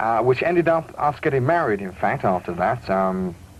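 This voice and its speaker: A man with a British accent. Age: 20s. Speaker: radio DJ. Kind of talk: radio interview. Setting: radio studio.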